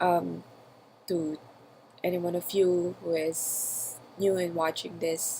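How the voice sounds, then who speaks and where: A woman with a non-native accent speaks at a fairly low pitch in a monotone, flat way. Her pace is very slow, with long, frequent pauses. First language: not English. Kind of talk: personal audio journal, spontaneous talk. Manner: hesitant, with fillers.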